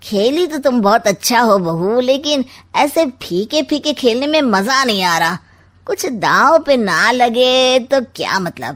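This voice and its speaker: In a cartoonish character voice, a woman speaks at a high pitch and a fairly slow pace with lively intonation, on a very clean recording with a silent background. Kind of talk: cartoon comic villain. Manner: sly, mocking, smug.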